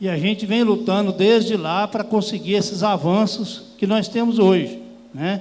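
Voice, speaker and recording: A man's high-pitched voice comes with audible room echo. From Brazil, Goiás (Rubiataba). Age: 60s. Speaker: rural workers' union leader. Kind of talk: conference panel talk. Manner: plain, unpolished speech with hesitations.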